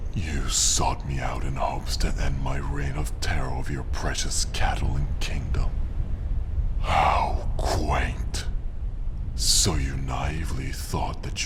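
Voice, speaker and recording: Loud background noise fills the clip. A man uses a put-on character voice at a fairly slow pace. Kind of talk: audio roleplay. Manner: arrogant, taunting.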